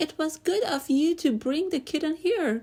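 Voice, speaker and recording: In a put-on character voice, a female-sounding voice squeaks at an extremely high pitch for a woman and a moderate pace. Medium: read story. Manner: kind, gentle.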